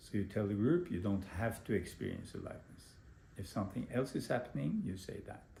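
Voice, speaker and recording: A man's fairly low, somewhat breathy voice with a dark, mellow tone and ordinary pitch variation. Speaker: meditation teacher. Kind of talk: lecture. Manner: slow.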